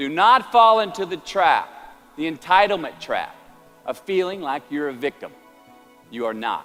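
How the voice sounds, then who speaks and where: Music plays behind a man speaking with a Southern US accent. His pitch swings very widely. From Texas. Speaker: actor. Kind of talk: motivational speech.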